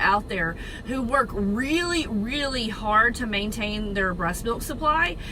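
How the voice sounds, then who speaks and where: With a Southern accent, a woman speaks in a fairly high voice with lively intonation and an animated tone, over noticeable background noise and audible room echo. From Texas. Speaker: registered nurse and network marketer. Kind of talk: casual informational talk to camera. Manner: animated, chatty.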